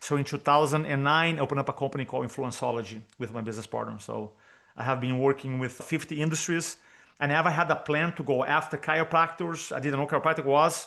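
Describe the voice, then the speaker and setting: A man speaks with a Brazilian Portuguese accent and ordinary pitch variation. The background is quiet. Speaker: public speaking coach. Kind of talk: podcast interview.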